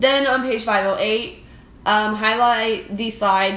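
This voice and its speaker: A woman speaks with a fairly high pitch. Audible room echo surrounds her voice. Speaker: anatomy and physiology instructor. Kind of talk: exam review tutorial. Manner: fast.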